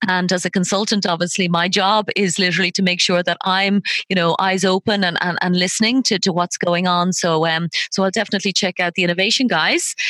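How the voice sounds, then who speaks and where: With an Irish accent, a woman talks at a fairly quick pace in a medium pitch, her tone bright, sharp and enthusiastic, her loudness very even, and the sound dry and close with no echo. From Ireland. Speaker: podcast host, loyalty consultant. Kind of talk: interview.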